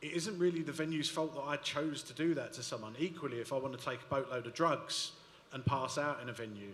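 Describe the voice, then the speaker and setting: A man with a strong London accent, fairly high pitch and ordinary pitch variation at a very fast pace, over noticeable background noise. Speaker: panelist. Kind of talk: panel discussion.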